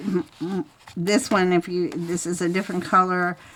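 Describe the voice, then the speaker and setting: A woman speaks with a fairly low pitch. Noticeable background noise runs under her voice. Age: 70s. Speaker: craft video creator. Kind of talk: tutorial. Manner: halting.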